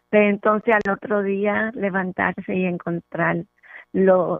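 Music plays in the background. Over it, a woman speaks at a fairly slow pace. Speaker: caller, host's sister. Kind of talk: phone-in call. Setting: phone call.

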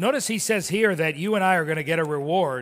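This is a normal speaking voice in an American accent with ordinary pitch variation. The recording is very clean, with a silent background. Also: man. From Miami, Florida. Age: 50s. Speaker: pastor. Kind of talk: sermon.

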